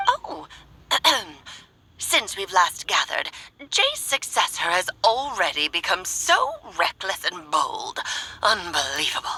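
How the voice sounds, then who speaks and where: A woman's put-on character voice, fairly high in pitch, fairly slow, with long, frequent pauses. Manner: imitating an elder.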